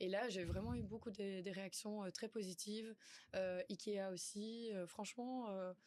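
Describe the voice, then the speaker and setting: A woman talks at a fairly slow pace, her medium pitch held in a fairly even intonation. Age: young. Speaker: content creator. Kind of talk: interview. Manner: hesitant, many fillers.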